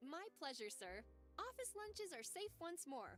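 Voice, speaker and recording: A put-on, high-pitched character voice speaks at a moderate pace over faint music in the background. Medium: video game. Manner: polite, deferential, calls him sir.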